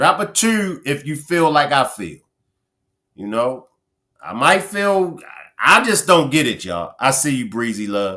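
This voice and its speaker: On a very clean recording with a silent background, a man with a Baltimore accent talks at a fairly slow pace in an animated, bright, sharp tone, with very wide pitch swings and long, frequent pauses. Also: fairly high pitch for a man. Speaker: livestream commentator. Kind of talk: live stream chat with viewers.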